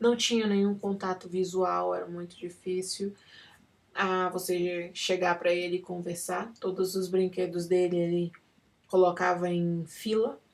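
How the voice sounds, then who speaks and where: A woman speaks with a non-native accent. Her intonation is flat and monotone. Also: medium pitch for a woman, fairly slow pace. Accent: non-native Portuguese, struggles for words. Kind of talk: personal testimony. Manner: halting, with many fillers.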